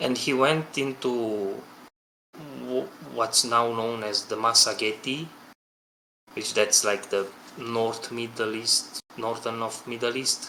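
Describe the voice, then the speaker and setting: Speaking at a very slow pace with long, frequent pauses, this voice has a bright, sharp tone, fairly even intonation and a non-native accent. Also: man, medium pitch for a man. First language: not English. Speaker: game developer. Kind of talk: podcast discussion. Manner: halting.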